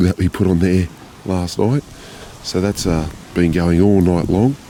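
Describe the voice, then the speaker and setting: Against noticeable background noise, a man with a very deep, low pitch speaks at a fairly slow pace. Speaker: motorcycle adventure vlogger. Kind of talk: vlog narration. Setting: outdoors at camp. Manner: casual; quiet, keeping voice down.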